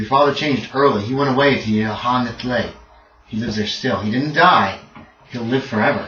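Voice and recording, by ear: The voice is reading aloud in a natural voice. Its pitch variation is ordinary.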